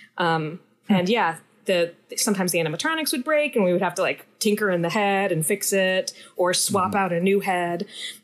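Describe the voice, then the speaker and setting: A woman with an ordinary speaking voice talks at a fairly quick pace and medium pitch. Her intonation is lively and her loudness very even. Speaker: comedian. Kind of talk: casual chat.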